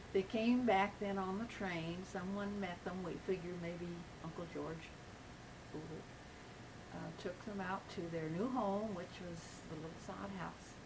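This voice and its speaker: A woman speaks at a fairly slow pace with an American accent, leaving long, frequent pauses. Audible room echo and noticeable background noise fill the recording. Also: medium pitch for a woman, fairly even intonation. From western Kansas, Thomas County. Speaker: interviewee recounting family history. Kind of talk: oral history interview. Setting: at home. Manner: halting, with fillers.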